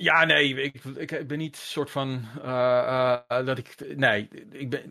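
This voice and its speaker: Here a man speaks at a very slow pace. His medium pitch stays monotone and flat. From Netherlands, moved often, mainly Haarlem. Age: 50s. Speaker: gaming journalist. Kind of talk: casual interview chat.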